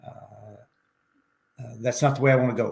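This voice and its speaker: A man with a Southern US accent. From Arkansas, US South. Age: 70s. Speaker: ultrarunner and professor. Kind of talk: interview chat.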